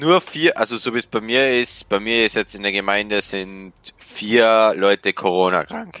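A man speaks at a fairly slow pace in a bright, sharp tone. The recording is very clean with a silent background and a dry, close sound with no echo. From rural Austria. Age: 18. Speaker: electrician. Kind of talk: casual chat.

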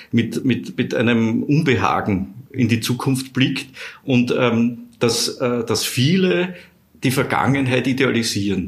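Audible room echo surrounds a man whose somewhat breathy voice sits at a medium pitch. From Austria (Vienna). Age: 50s. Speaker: social scientist. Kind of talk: interview. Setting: office. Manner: halting, many repetitions.

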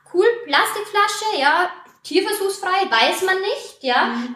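Her intonation is lively and her pace fairly slow as a woman talks through noticeable background noise. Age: 30s. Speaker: primary school teacher and network marketer. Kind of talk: interview. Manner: passionate.

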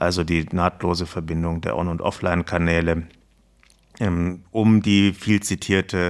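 A man with a very deep, low voice speaks fairly slowly with fairly even intonation. The recording is very clean, with a silent background. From southern Germany, Baden (Lörrach). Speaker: retail IT research executive. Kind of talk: podcast interview.

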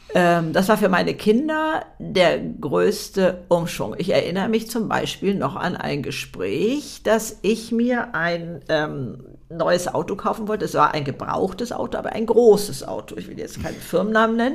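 A woman with vocal fry talks at a fairly slow pace, at a medium pitch. Her intonation is lively, and her loudness swings widely. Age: 70s. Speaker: author and podcaster. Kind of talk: interview.

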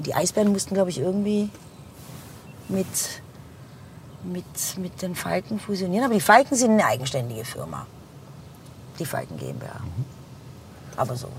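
A woman with a fairly low pitch speaks at a moderate pace, her pitch swinging very widely and her loudness rising and falling sharply between long, frequent pauses. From Heilbronn, Germany. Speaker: bar owner. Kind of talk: casual interview. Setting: in a car.

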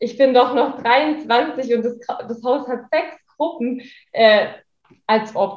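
At a very slow pace with long, frequent pauses, a woman speaks in a high pitch with ordinary pitch variation. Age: 20s. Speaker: daycare center manager, social worker. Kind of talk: interview.

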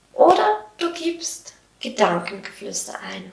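A woman's voice at a very slow pace, with very wide pitch swings. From Switzerland. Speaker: podcast host, self-employed coach. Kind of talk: solo podcast monologue. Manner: animated.

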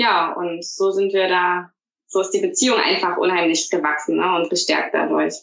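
A woman talks at a moderate pace, her loudness very even throughout. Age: 30s. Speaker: teacher. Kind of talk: casual interview.

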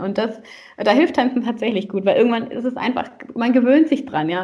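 With an unremarkable speaking voice, a woman talks at a fairly quick pace. Her pitch is fairly high, and her intonation is lively. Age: 30s. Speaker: relationship coach and salsa teacher. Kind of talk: podcast interview.

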